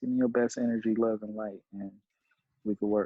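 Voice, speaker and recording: A man speaks at a moderate pace. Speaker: reaction video co-host in military barracks. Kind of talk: casual chat on phone while reacting to video. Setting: phone call from shared barracks room. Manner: kept quiet to not disturb roommate.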